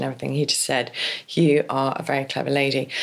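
The speaker has an English accent. Noticeable background noise runs under the voice. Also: woman. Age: 50s. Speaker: divorce coach. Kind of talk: interview.

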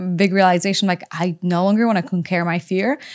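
A woman speaks in a Polish accent at medium pitch. The recording is very clean, with a silent background. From Poland. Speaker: author and influencer. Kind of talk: casual interview conversation. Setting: studio.

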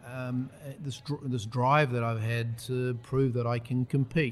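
With a New Zealand accent, a man speaks at a medium pitch in a flat, monotone way. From New Zealand, rural Taranaki and Waikato. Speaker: tech entrepreneur. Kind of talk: casual interview.

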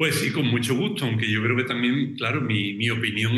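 A man with a medium-pitched voice keeps a fairly even intonation, while background noise is noticeable and room echo can be heard. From southern Spain, Cádiz (Andalusia). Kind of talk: interview conversation.

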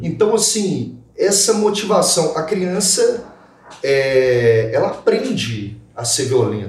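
A man's voice with audible room echo. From Minas Gerais, Brazil. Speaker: lawyer and podcast host. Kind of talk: casual panel discussion.

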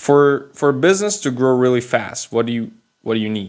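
A man's voice with a Persian accent. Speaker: podcast host. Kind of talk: solo explainer monologue. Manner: unscripted, with hesitations.

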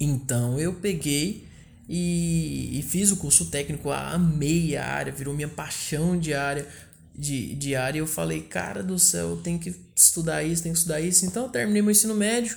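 In a room with audible echo, a man speaks at a moderate pace with a fairly high pitch and ordinary pitch variation. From Brazil, northern Goiás (Porangatu). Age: 20s. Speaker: podcast host. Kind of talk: casual monologue. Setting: at home.

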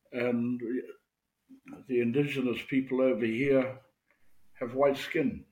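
At a fairly slow pace, a man with a medium-pitched, monotone, flat delivery speaks with long, frequent pauses. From New Zealand, rural Maori village. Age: old. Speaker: Maori elder and haka workshop leader. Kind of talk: interview. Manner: halting.

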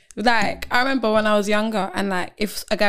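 This speaker talks at a fairly quick pace with a London accent. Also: woman, very clean recording, silent background. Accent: London (multicultural London English). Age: 20s. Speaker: model and student. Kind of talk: casual chat. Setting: studio.

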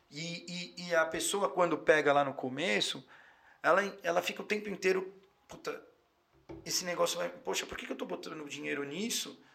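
Speaking at a moderate pace with long, frequent pauses, a man with a high pitch shows ordinary pitch variation and big swings in loudness. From São Paulo city, North Zone. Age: 30s. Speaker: physician. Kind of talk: casual interview.

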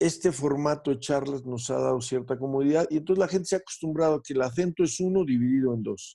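This man's tone is dark and mellow. His pitch sits fairly high. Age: 50s. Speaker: psychoanalyst and radio show host. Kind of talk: interview.

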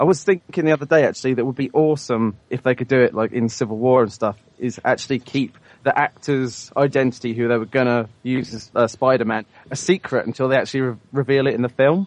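At a fairly quick pace, a man with a slight British accent talks at a medium pitch and ordinary pitch variation, the sound dry and close with no echo. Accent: British, mild. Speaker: listener caller.

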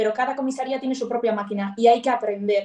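A high-pitched woman's voice with fairly even intonation. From Basque Country, Bilbao. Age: 20s. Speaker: police officer. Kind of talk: interview.

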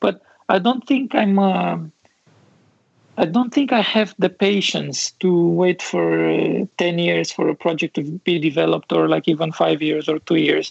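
A man speaks with a Romanian accent at a fairly slow pace. His loudness stays very even, and the sound is dry and close with no echo. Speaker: architect and visualization studio founder. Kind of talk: casual interview chat.

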